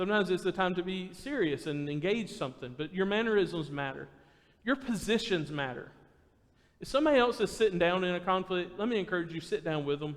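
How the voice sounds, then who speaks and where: Loud, very fast, high-pitched male speech with lively intonation. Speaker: preacher. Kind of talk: sermon. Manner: naturally loud.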